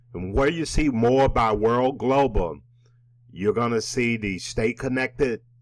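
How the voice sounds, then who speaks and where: A man talks at a fairly slow pace. His pitch shows ordinary variation. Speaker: network marketing presenter. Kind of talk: tutorial.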